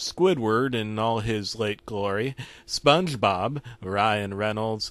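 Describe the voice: Ordinary pitch variation in a plain read-aloud delivery.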